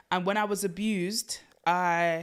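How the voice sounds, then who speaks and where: A woman has an ordinary speaking voice, fairly low in pitch, with fairly even intonation. The recording is very clean with a silent background. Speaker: spoken word poet. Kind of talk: interview answer.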